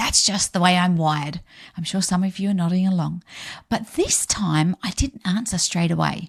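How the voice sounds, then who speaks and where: An upbeat, somewhat breathy woman's voice at medium pitch, in an Australian accent, at a moderate pace, with a dry, close sound and no echo. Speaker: podcast host, business coach. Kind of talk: solo podcast talk. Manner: upbeat, chatty.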